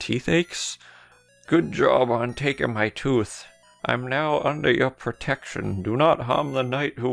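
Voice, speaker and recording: A man puts on a character voice at medium pitch, going at a fairly slow pace. Faint music plays in the background. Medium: game stream. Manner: grandiose, theatrical.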